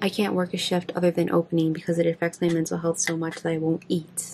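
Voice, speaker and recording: Noticeable background noise behind a fairly low-pitched woman. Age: 20s. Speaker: beauty vlogger. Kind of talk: casual chat. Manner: halting.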